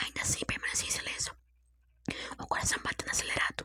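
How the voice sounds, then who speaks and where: Whispering, a woman speaks at a very fast pace. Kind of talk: sleep story, whispered storytelling. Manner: whispered, soft.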